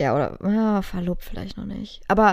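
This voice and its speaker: A woman speaks in a normal speaking voice at a medium pitch. Her pace is moderate. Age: 20s. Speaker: podcast co-host. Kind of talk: casual chat.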